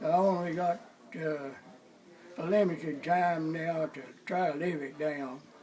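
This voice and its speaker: Amid noticeable background noise and audible room echo, a man speaks at a fairly slow pace in a fairly high voice with ordinary pitch variation and long, frequent pauses. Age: 90s. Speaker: activist. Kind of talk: interview testimony.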